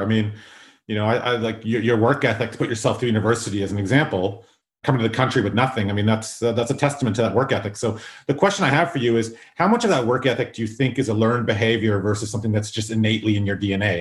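A man with a Canadian accent talks very fast in a somewhat breathy voice. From South Africa, Durban; raised in Canada. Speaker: podcast host. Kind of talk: casual interview.

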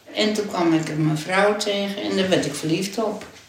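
Lively intonation marks this woman's speech, heard through noticeable background noise and audible room echo. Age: 80s+. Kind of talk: interview.

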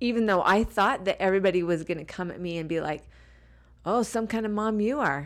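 A woman with a plain, everyday voice speaks in an American accent at a fairly quick pace, medium pitch and ordinary pitch variation, on a very clean recording with a silent background. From Utah. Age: 40s. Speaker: scrapbooking product designer. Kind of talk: casual chat. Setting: hotel room.

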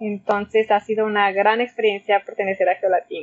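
A woman speaks at a medium pitch and a moderate pace. Her intonation is flat and monotone. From Mexico, Zacatecas. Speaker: oceanographer. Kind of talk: interview.

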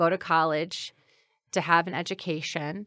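A woman's fairly low, bright, sharp voice with an American accent, in a dry, close sound with no echo. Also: very clean recording, silent background. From Granite City, Illinois. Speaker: city clerk. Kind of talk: interview.

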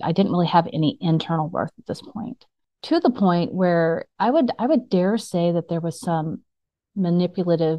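A woman's ordinary speaking voice, fairly low in pitch, at a moderate pace. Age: 40s. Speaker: storyteller sharing her life testimony. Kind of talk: testimony.

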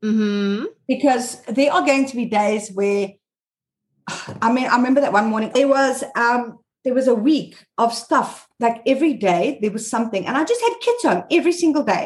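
Speaking at a moderate pace, a woman with a high voice sounds animated. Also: ordinary pitch variation. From South Africa. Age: 40s. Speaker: mom blogger. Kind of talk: interview.

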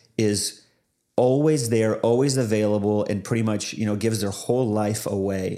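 A man's dark, mellow tone at a fairly quick pace, with a Pacific Northwest accent. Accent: Pacific Northwest American. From US Pacific Northwest. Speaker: pastor and former Bible college director. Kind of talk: casual interview.

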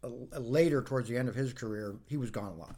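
Speaking with an American accent, a man uses a plain, everyday voice at a medium pitch with ordinary pitch variation. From Northern Virginia, US. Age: 50s. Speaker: outdoors professional. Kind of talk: casual interview.

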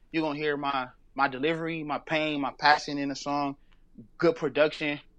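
A man with an American accent at a very fast pace, monotone and flat, over a quiet background. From Los Angeles. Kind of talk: interview. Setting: phone call.

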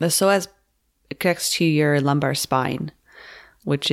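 Her voice is very deep and low for a woman, with vocal fry and ordinary pitch variation. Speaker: yoga teacher and podcast host. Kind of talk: casual chat. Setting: remote recording, different locations.

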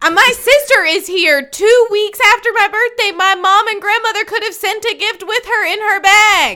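In a raised, projected voice with a bright, sharp tone, the speaker sounds animated, keeping a moderate pace and ordinary pitch variation. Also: woman. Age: 30s. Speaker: podcast co-host. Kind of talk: casual chat. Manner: animated, joking.

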